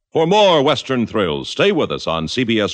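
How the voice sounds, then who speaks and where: A man speaks with vocal fry at medium pitch. His pace is moderate. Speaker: radio drama announcer. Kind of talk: dramatic announcer narration. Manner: formal, resonant, dramatic.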